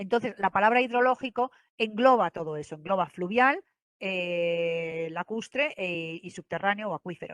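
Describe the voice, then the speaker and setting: The speaker is a woman with a medium pitch. It rises and falls with ordinary variation. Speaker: government environmental specialist presenting. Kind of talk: online presentation; Q&A answer. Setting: online event. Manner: fast; hesitant with many fillers.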